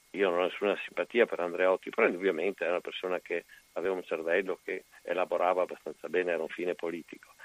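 The recording is dry and close, with no echo. A man races through his words at a very fast pace. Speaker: caller. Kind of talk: casual chat.

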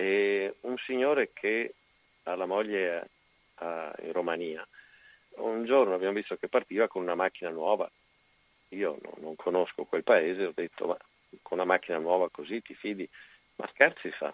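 Long, frequent pauses break up a man's speech at a moderate pace. The sound is dry and close with no echo. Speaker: caller. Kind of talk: casual chat.

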